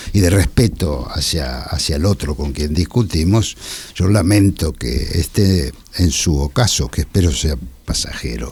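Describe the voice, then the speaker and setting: Against noticeable background noise, a man with a very deep, low pitch talks fairly slowly with lively intonation. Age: 80s+. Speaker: art historian. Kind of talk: radio interview. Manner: halting.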